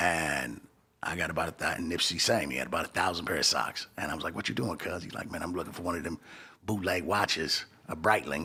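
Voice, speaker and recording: A very fast delivery with vocal fry and a bright, sharp tone. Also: man, very deep, low pitch for a man, ordinary pitch variation. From Los Angeles. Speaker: hip-hop entrepreneur. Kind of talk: interview.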